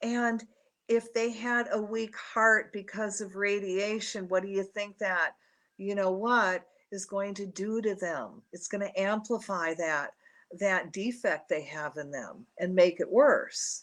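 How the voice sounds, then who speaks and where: A normal speaking voice from a woman with an American accent, at medium pitch, with ordinary pitch variation and a fairly slow pace. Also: quiet background. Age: 60s. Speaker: radio host. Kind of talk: radio talk monologue. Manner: casual, conversational.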